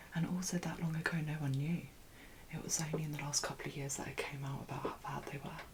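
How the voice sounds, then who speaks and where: Soft-spoken, very fast delivery with long, frequent pauses, monotone, flat intonation, and noticeable background noise. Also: woman. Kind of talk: ASMR makeup consultation, soft-spoken.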